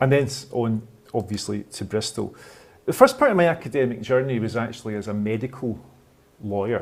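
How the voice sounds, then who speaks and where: A man with a Scottish accent, medium pitch, ordinary pitch variation and a fairly quick pace. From Scotland. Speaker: law professor. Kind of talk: lecture.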